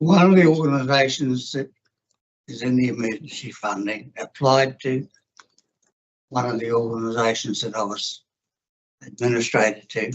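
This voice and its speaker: With a New Zealand accent, a man of medium pitch speaks at a moderate pace, leaving long, frequent pauses. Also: ordinary pitch variation. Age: 80s+. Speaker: former councillor, submitter at hearing. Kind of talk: public hearing submission.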